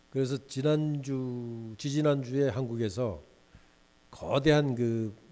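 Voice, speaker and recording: A man talks at a medium pitch with lively intonation. Audible room echo is present. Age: 60s. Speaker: guest lecturer, business executive. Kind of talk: lecture. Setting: lecture hall with student audience.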